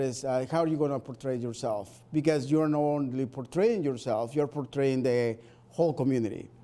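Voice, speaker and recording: A man with a Spanish accent speaks at a medium pitch with ordinary pitch variation. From Spanish-speaking country, moved to US. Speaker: Spanish teacher. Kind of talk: interview. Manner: hesitant, with fillers.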